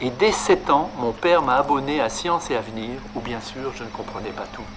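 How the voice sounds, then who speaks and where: There is noticeable background noise behind a man whose voice sits at a fairly high pitch. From France, Lyon. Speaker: mathematician. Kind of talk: prepared speech.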